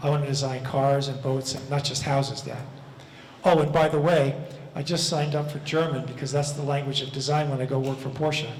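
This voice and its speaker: A man talks at a very fast pace with a fairly high pitch. Noticeable background noise and audible room echo fill the recording. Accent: American. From US Northeast (Levittown, Long Island, New York). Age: 70s. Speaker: architect. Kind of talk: lecture Q&A. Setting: lecture hall with audience. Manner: conversational, with many fillers.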